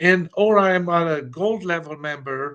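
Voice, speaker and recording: A man with a fairly high pitch speaks in a bright, sharp tone with ordinary pitch variation against a quiet background. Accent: Romanian. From Romania. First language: Romanian. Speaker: customer of a sales platform. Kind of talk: business call. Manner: halting, many fillers.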